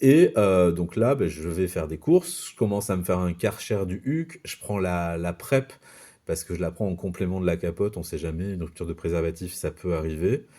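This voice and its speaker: On a very clean recording with a silent background, a man speaks with a very deep, low pitch and a dark, mellow tone. He keeps a moderate pace and ordinary pitch variation. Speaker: youtuber sharing personal experience. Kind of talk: personal storytelling vlog. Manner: hesitant, many fillers.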